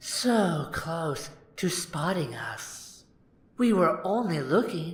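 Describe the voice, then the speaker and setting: In a put-on character voice at a middle pitch, the speaker goes at a very slow pace with audible echo. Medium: read story. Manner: teasing, speaks in rhyme.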